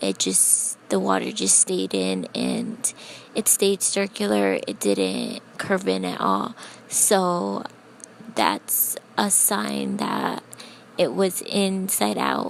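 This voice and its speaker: Quietly and at a very slow pace, a woman speaks over noticeable background noise. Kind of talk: casual tutorial talk to camera. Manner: quiet, low voice.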